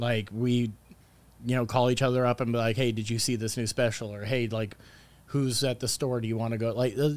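Someone with an American accent talks at a moderate pace in a plain, everyday voice. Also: man. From Palm Springs, California. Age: 30s. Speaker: stand-up comedian and show producer. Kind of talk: casual chat.

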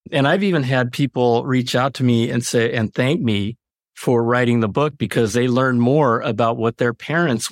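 A man of medium pitch speaks with a Californian accent and very even loudness. The sound is dry and close with no echo, on a very clean recording with a silent background. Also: hardly any pauses. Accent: General American (California). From Los Angeles, US. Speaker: author. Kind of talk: interview.

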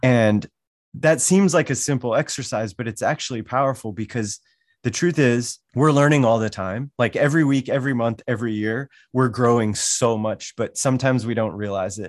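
With an American accent, a man has an ordinary speaking voice at a medium pitch, ordinary pitch variation, and a moderate pace, recorded with a quiet background and a dry, close sound with no echo. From US Mountain West, Wyoming. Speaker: learning educator, workshop facilitator. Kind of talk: interview conversation.

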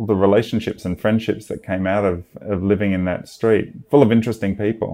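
A man with an Australian accent speaks in a fairly low pitch, his tone dark and mellow. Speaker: film music producer. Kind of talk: casual interview. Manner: halting, many repetitions.

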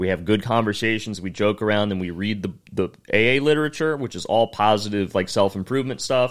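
In a very clean recording with a silent background, a man speaks in a plain, everyday voice at a fairly low pitch. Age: 20s. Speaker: comedian. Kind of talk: casual chat.

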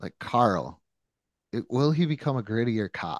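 A man with an ordinary speaking voice and medium pitch, at a moderate pace, with a dry, close sound with no echo and a quiet background. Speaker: podcast host. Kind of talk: casual chat.

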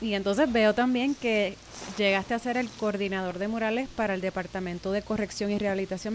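With music in the background, a woman talks very fast at a medium pitch and with fairly even intonation. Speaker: podcast host. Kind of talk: interview.

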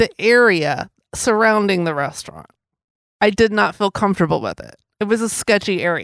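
A woman with a normal speaking voice talks at a moderate pace with medium pitch, ordinary pitch variation and big swings in loudness. The recording is very clean, with a silent background. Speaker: podcast host. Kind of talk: casual chat, storytelling.

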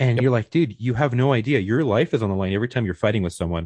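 A somewhat breathy man at a very fast pace, with a dry, close sound, no echo and a quiet background. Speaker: podcast host. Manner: fast talker.

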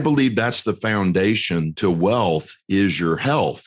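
At a fairly slow pace, a man with an American accent uses a normal speaking voice at a fairly low pitch against a quiet background. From US South, North Carolina. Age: 50s. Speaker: real estate investor and educator. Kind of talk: interview.

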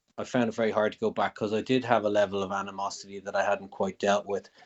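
With an Irish accent, a man rattles along at a very fast rate. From Ireland. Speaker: comedian. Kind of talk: interview. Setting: remote call.

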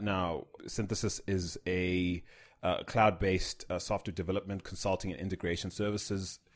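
On a very clean recording with a silent background, a man with a very deep, low pitch speaks at a moderate pace. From South Africa. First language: not English. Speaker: podcast host. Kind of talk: casual chat. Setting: studio. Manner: animated.

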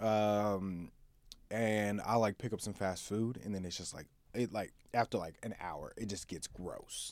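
With an unremarkable speaking voice, a man talks at a fairly low pitch and a fairly slow pace, his intonation fairly even, on a very clean recording with a silent background. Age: 20s. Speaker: marketing entrepreneur. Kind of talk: casual chat.

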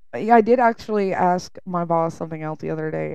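A woman speaks at a fairly quick pace with a Southern US accent. Her tone is dark and mellow against a quiet background. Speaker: podcast co-host. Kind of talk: casual chat.

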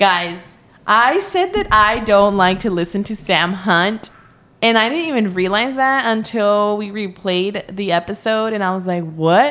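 A woman with a plain, everyday voice and an American accent speaks at a fairly slow pace and medium pitch, with ordinary pitch variation. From US, Mexican American. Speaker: podcast co-host. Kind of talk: casual chat. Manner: playful, teasing.

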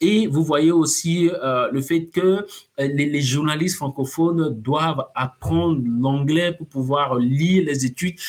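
The speaker talks at a very slow pace. The pitch varies in an ordinary way. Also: man, fairly high pitch for a man. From Togo. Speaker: science journalist. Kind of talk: interview.

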